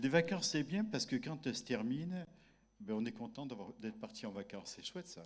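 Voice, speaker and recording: At a moderate pace, a man with a fairly high pitch and vocal fry shows very wide pitch swings, big swings in loudness and long, frequent pauses. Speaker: pastor. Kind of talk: church welcome and prayer. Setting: church service.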